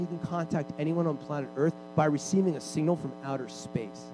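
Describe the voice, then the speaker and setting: There's noticeable background noise behind the speaker. A man talks at a fairly quick pace. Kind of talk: sermon, preacher in full flow leading a charged prayer.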